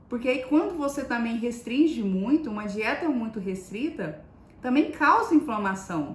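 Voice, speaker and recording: A woman talks at a moderate pace in a high pitch, her pitch swinging very widely. Noticeable background noise runs underneath. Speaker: nutritionist. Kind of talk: live stream talk. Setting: live stream.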